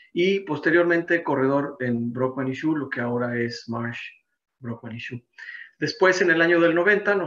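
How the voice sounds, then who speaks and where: An ordinary speaking voice from a man, with ordinary pitch variation. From Mexico City. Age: 60s. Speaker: insurance and business consultant, seminar presenter. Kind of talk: seminar presentation.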